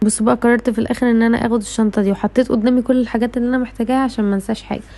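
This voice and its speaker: Talking at a very fast pace, a woman with an Egyptian accent holds a fairly high pitch in a monotone, flat intonation. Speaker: vlogger, university student. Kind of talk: vlog.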